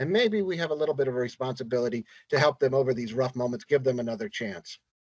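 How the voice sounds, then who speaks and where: Very fast speech with lively intonation and a dry, close sound without echo. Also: man, medium pitch for a man. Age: 60s. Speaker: wildlife rehabilitation nonprofit director. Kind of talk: interview. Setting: podcast. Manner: halting.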